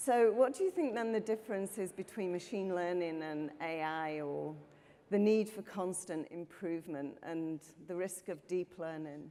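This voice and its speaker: With a Yorkshire accent, a woman speaks at a moderate pace in a fairly low pitch, with a dark, mellow tone and ordinary pitch variation. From northern England, Yorkshire. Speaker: conference panel moderator, professor. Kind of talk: panel discussion.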